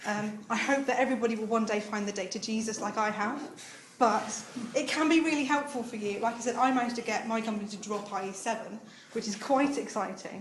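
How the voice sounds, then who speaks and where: A woman speaks very fast with ordinary pitch variation. There is audible room echo and noticeable background noise. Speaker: conference speaker, web developer. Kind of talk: tech conference talk; audience Q&A. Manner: enthusiastic, filler-heavy.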